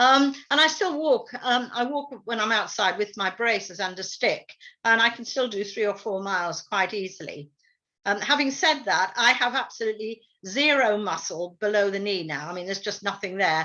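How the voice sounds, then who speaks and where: At a moderate pace, a woman speaks in a fairly high pitch with a bright, sharp tone. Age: 70s. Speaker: person living with CMT, panel member. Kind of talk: panel discussion.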